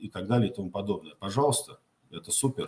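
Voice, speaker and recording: A man's intonation is lively, and his voice has a somewhat breathy quality. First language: Tatar (speaking Russian). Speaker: political activist answering viewer questions. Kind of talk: live Q&A answering viewer questions. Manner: halting, many filler sounds.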